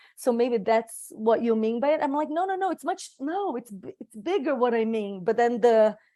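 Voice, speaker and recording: A high-pitched woman's voice with a Portuguese accent, a dark, mellow tone, very wide pitch swings, a moderate pace and hardly any pauses. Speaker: circle participant. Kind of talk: reflective group sharing. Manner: halting, many restarts.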